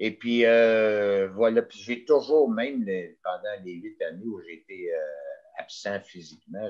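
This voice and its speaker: A man is speaking. His pace is very slow. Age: 60s. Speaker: mayor. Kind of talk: interview. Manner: halting.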